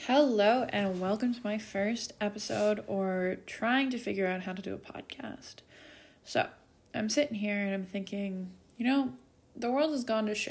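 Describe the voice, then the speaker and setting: Somewhat breathy woman speaking at a moderate pace with ordinary pitch variation. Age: 20s. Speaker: podcaster, hospitality business founder. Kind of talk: personal monologue.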